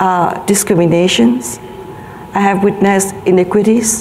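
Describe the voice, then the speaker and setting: A woman with a Vietnamese accent and medium pitch, with noticeable background noise and audible room echo. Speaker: health advocacy organization leader. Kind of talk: conference speech. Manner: halting, many fillers.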